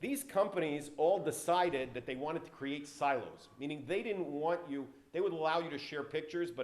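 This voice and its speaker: Over noticeable background noise, a man with an American accent speaks in a fairly high voice. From US South, Atlanta, Georgia. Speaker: tech entrepreneur, guest speaker. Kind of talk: speech to an audience.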